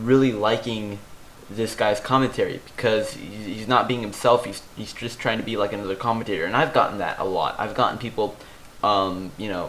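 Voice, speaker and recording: With fairly low pitch and fairly even intonation, a man speaks at a fairly quick pace, his loudness swinging widely. Audible room echo and noticeable background noise fill the recording. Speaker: gaming YouTuber. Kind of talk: gameplay commentary with tips. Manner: halting, many fillers and repeats.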